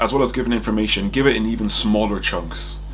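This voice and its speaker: A man speaks with audible echo in the room. Noticeable background noise sits behind him. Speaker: medical student. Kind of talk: casual monologue reviewing exam feedback. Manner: fast; hesitant, many fillers.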